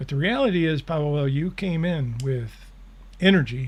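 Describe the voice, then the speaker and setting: With ordinary pitch variation, a man is talking. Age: 70s. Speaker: spiritual channeler and show host. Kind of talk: live Q&A, reading and answering viewer questions. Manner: casual, conversational.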